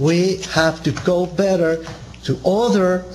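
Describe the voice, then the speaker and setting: With noticeable background noise, a high-pitched man speaks in a Spanish accent. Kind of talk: seminar lecture. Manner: halting, frequent repetitions and fillers.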